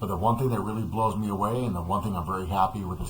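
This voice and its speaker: The voice moves at a very fast pace with fairly even intonation. Room echo is audible. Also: man. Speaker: customer product reviewer. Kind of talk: casual product review. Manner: hesitant with many fillers. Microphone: built-in dual microphone of webcam on laptop.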